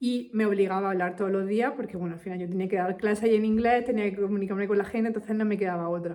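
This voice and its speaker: Spoken at a very fast pace in a Castilian accent, the voice has a dark, mellow tone. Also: woman. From Spain. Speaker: English teacher. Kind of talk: casual talk to camera. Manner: animated.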